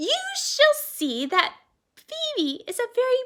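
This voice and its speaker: A woman performs a put-on character voice at a high pitch. Her pace is fairly slow. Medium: read story. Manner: gentle, slightly formal.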